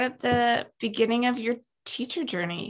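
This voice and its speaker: High pitch from a woman, with ordinary pitch variation. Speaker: podcast host. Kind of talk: interview.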